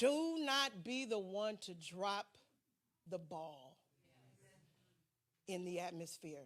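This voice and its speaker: The woman speaks at a very slow pace. Her medium-pitched voice moves in very wide pitch swings. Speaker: pastor. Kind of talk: sermon. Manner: animated.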